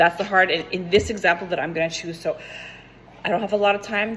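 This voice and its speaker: A woman speaks at a medium pitch and a fairly quick pace. Noticeable background noise runs behind her. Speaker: fitness coach. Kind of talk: tutorial. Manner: fast; animated.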